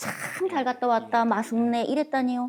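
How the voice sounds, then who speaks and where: A woman speaks at a fairly high pitch with a dark, mellow tone. Her pace is moderate, and she has a Gangwon accent. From Gangneung, Gangwon. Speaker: dialect preservation adviser. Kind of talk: interview answer.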